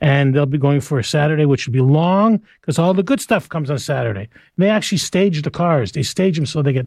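Against a quiet background, a man talks at a very fast pace in a fairly high, somewhat breathy voice with lively intonation. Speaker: radio host. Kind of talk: casual radio chat. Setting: radio studio.

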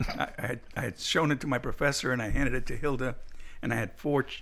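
Vocal fry runs through this man's speech, delivered at a moderate pace with fairly even intonation. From Cuba, raised Miami. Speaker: pastor. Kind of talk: casual chat.

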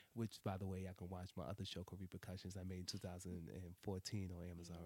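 Talking at a very fast pace with a New York accent, a man uses a very deep, low voice that is dark and mellow in tone. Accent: New York City (Brooklyn). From Brooklyn, New York City (Brownsville). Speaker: web series creator, writer and director. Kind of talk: casual interview chat. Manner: animated.

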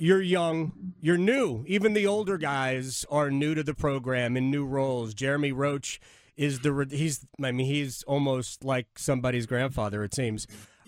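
The recording is very clean with a silent background, carrying a man's plain, everyday voice at a fairly high pitch with ordinary pitch variation. He speaks at a moderate pace with hardly any pauses. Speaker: radio host. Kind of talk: casual interview.

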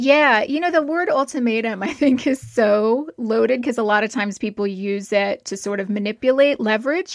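An ordinary speaking voice from a woman, fairly high in pitch with lively intonation, moderate in pace with hardly any pauses, on a very clean recording over a silent background. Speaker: clinical psychologist. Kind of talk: advice interview answering listener questions.

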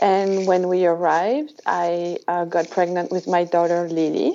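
With a French accent, a woman speaks at a fairly low pitch with fairly even intonation. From France. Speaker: new mother. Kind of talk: interview. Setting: podcast recording.

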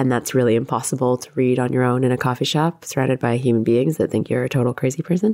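A woman talks at a very fast pace with hardly any pauses, in a Canadian accent. Her pitch is very deep and low, with ordinary variation and a dark, mellow tone. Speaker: playwright and director. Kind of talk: interview.

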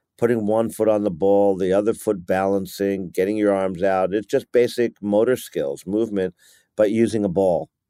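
Fairly low-pitched, a man with a New York accent talks at a moderate pace with fairly even intonation, the sound dry and close with no echo. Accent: New York American. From New York, US. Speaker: youth football coach. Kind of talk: interview.

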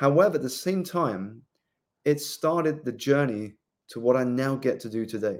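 At a moderate pace, a man with a southern English accent speaks at a medium pitch with ordinary pitch variation. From southeast England. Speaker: life coach and author. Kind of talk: interview.

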